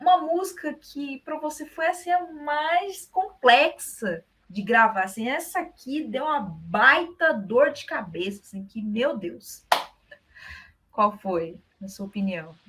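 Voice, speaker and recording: A woman talks at a very slow pace, her pitch swinging very widely and her loudness shifting greatly. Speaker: interviewer. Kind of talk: interview questions.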